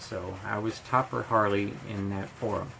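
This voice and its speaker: With an American accent, a man speaks as noticeable background noise carries on around him. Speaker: scale model hobbyist youtuber. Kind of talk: casual vlog storytelling. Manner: halting, many fillers.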